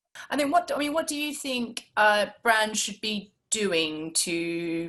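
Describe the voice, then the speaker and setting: Speaking at a very slow pace, a woman with an Australian accent has a bright, sharp tone and very wide pitch swings. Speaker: marketing webinar host. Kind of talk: interview.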